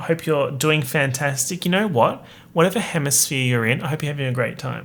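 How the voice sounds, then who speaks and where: With an Australian accent, this man speaks at a fairly high pitch, using ordinary pitch variation and some vocal fry. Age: 20s. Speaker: podcaster, YouTuber. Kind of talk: casual solo podcast monologue. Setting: home streaming room.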